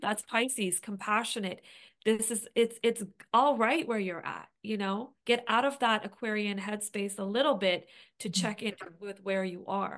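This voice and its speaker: Here a woman has an unremarkable speaking voice. Her pitch is fairly high and her intonation fairly even. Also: fairly slow pace. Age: 40s. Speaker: astrologer and podcast co-host. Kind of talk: casual chat.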